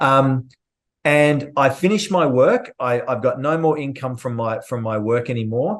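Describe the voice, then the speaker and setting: Speaking with an Australian accent, a man has a fairly high pitch and ordinary pitch variation. The background is quiet. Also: fairly slow pace. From Australia, Melbourne. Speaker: trading educator and podcast host. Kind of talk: casual podcast interview.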